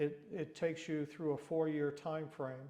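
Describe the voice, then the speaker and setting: In a monotone, flat way, a man with an American accent speaks in a dark, mellow tone. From Long Island, New York. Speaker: retired fire chief. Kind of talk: oral history interview answer.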